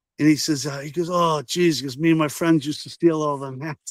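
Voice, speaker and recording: Very fast speech from a man with an American accent, dry and close with no echo. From Massachusetts, US. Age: 60s. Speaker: flat cap business owner. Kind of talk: casual chat.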